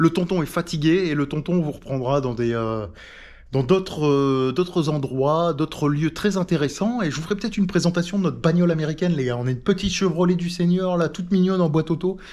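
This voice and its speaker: Typical pitch movement in a man's high voice. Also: fairly quick pace. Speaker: travel vlogger. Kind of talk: casual vlog talk to camera. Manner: hesitant.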